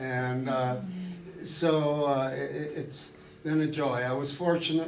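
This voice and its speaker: A man with an American accent talks at a very slow pace. His voice carries audible room echo. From Ohio, US Midwest. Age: old. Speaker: retired neurosurgeon. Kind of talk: public talk. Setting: room with live audience. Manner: halting.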